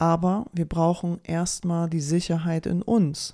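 A woman with a fairly low pitch and a dark, mellow tone. The recording is very clean, with a silent background. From Poland until age five, then Germany. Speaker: health podcast host. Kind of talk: solo podcast monologue. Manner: casual, with filler sounds.

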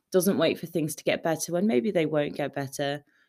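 A woman's very deep, low voice with a British accent, in a very clean recording with a silent background. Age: 20s. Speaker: podcast host. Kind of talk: solo podcast recap, scripted-like chat. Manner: upbeat, friendly.

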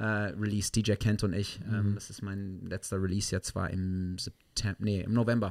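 A man's fairly low voice with a slight South African accent and fairly even intonation, in a very clean recording with a silent background. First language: English (speaking German). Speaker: musician. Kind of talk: casual chat. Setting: studio.

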